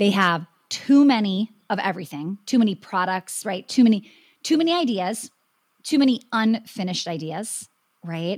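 In an American accent, a woman speaks at a medium pitch and moderate pace, somewhat breathy, with lively intonation. The sound is dry and close with no echo, on a very clean recording with a silent background. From Wisconsin. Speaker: business coach and dance studio owner. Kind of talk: interview.

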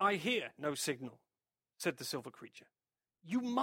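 An unforced reading voice with lively intonation carries over a quiet background.

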